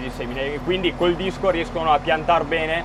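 Over noticeable background noise, a man talks at a moderate pace. His high pitch stays fairly even in intonation. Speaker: farmer driving a tractor. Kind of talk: casual vlog chat. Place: farm machine. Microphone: phone near.

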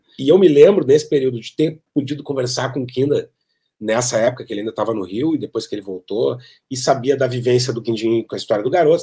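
A man with a Gaúcho Brazilian accent, very fast and somewhat breathy, with lively intonation and a dark, mellow tone over a quiet background. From Porto Alegre, southern Brazil; Rio Grande do Sul, Brazil. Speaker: keyboard player. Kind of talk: interview storytelling. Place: home room. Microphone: webcam.

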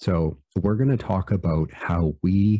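A man with a dark, mellow tone speaks with ordinary pitch variation. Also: quiet background. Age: 60s. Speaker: engineer and author. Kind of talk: casual interview conversation. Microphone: studio mic.

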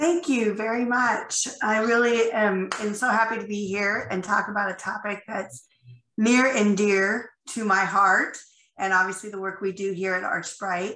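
There's audible room echo around a voice speaking at a fairly slow pace. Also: woman, medium pitch for a woman, ordinary pitch variation. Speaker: company CEO and workplace speaker. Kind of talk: conference presentation. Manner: frequent fillers (um, you know).

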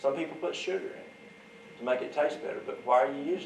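A man with a Southern US accent is heard with audible room echo and light background noise. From US Deep South. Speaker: herbal remedies teacher. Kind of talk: workshop demonstration. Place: hall.

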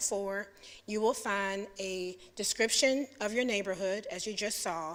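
A woman with an ordinary speaking voice and fairly even intonation is heard on a very clean recording with a silent background. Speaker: city planning staff presenter. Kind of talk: presentation to a public commission. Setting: public meeting.

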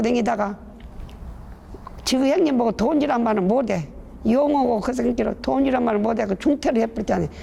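A woman with a high voice and a lively, bouncing intonation speaks over noticeable background noise. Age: 80s+. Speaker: rural elder interviewee. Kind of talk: casual interview.

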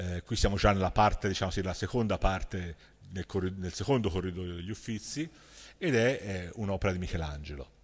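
Spoken with a Florentine accent at a fairly quick pace, the pitch varies in an ordinary way. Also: man, very deep, low pitch for a man. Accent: Tuscan Italian (Florentine). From Florence, Italy; Tuscany, Italy. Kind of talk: lecture. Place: stage.

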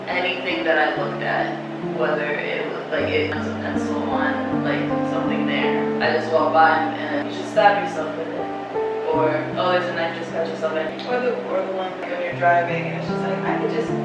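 Moderately paced speech with audible room echo and music in the background. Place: home room.

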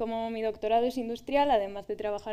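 Her tone dark and mellow, a woman speaks at a fairly high pitch and a fairly quick pace. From Spain, Valladolid; Spain. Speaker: doctoral researcher in materials science; speaker. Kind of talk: public talk. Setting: stage with audience. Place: stage.

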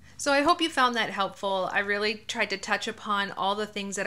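A bright, sharp tone marks this woman's voice. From New Hampshire, Manchester; New Hampshire. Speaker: realtor and YouTuber; YouTuber. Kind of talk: informational vlog. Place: home room.

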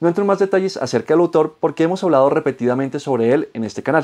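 The background is quiet as a man speaks. His tone is dark and mellow, with lively intonation. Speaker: book reviewer. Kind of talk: book review vlog. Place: home room. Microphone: lapel.

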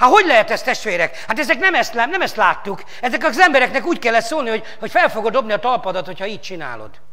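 The voice is raised and projected, with very wide pitch swings. It moves at a very fast pace. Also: man, quiet background. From Hungary. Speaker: pastor. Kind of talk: sermon. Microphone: lapel.

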